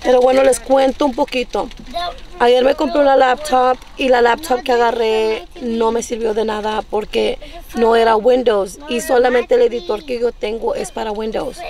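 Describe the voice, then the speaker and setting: A woman speaks at a high pitch. Noticeable background noise runs behind her. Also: ordinary pitch variation, moderate pace, dry sound with no echo. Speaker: vlogger. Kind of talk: casual vlog chat. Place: car. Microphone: phone near.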